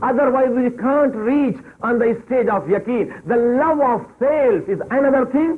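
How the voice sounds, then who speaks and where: Speaking at a fairly slow pace with a Pakistani accent, a man with an extremely high pitch keeps very even loudness and ordinary pitch variation over noticeable background noise. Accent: South Asian (Pakistani) English. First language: Urdu. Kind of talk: religious lecture.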